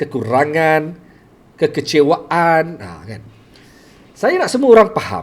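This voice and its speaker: Talking fairly slowly, a man lets his pitch rise and fall over a very wide range. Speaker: teacher and storyteller livestreamer. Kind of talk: live stream talk. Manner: halting with repetitions.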